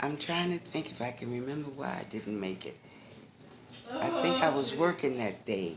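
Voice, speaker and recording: A woman's very deep, low voice in an American accent, very wide pitch swings and a moderate pace, with noticeable background noise. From Washington DC. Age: 80s+. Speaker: retired telephone worker. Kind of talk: interview answer. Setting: hospital.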